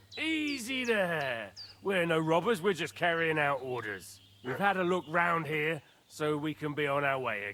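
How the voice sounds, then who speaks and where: In a gruff, put-on character voice, the speaker swings very widely in pitch at a moderate pace. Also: man, fairly high pitch for a man. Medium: video game. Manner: gruff, threatening.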